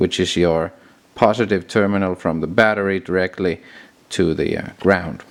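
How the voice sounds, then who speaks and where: Recorded very cleanly against a silent background, a man with a very deep, low voice speaks at a moderate pace with fairly even intonation. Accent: non-native. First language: not English. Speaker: car mechanic hobbyist. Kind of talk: tutorial. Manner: halting.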